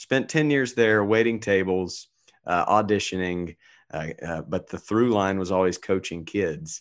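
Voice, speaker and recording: A man's fairly low, plain, everyday voice at a fairly slow pace, with ordinary pitch variation and a quiet background. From North Carolina, Asheboro. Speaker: youth baseball coach. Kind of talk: interview.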